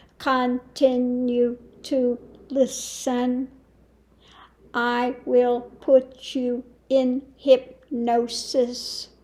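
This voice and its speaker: Doing a put-on character voice, a woman speaks very slowly in a high, flat monotone. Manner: hypnotic, manufactured, domineering.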